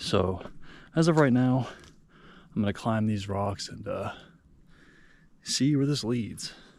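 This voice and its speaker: Heard with audible room echo, a man talks at a medium pitch and a fairly slow pace. He takes long, frequent pauses and uses ordinary pitch variation. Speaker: hiking vlogger. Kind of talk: casual vlog narration while hiking. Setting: outdoors on a mountain trail. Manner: soft-spoken.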